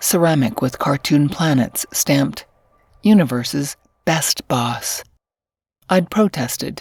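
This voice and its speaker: A woman speaks at a fairly slow pace with a very deep, low pitch and vocal fry. Her intonation is lively. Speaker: voice actor. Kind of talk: audiobook fiction narration.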